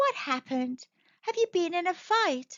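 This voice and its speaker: In a squeaky, put-on character voice, a woman speaks at a moderate pace with extremely high pitch and very wide pitch swings. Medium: read story. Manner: gentle, fussing.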